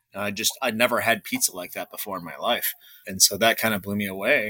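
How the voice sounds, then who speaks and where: A man with an American accent talks at a very fast pace in a bright, sharp tone. The sound is dry and close, with no echo. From Chicago suburbs. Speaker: pizzeria owner. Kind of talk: interview.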